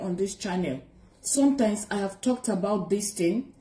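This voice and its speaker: At a moderate pace, the speech carries an audible room echo. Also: woman. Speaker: spiritual vlogger. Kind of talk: casual vlog chat. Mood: warm, earnest. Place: home room. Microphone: phone near.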